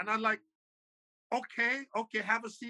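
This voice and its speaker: A man's raised, projected voice has a bright, sharp tone in a dry, close sound with no echo. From Liberia. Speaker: pastor. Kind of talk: interview testimony.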